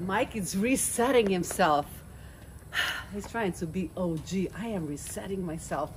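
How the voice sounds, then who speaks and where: Over light background noise, a woman with a Romanian accent speaks at a fairly slow pace with ordinary pitch variation. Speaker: vlogger. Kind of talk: casual vlog chat. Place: garden. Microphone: phone near.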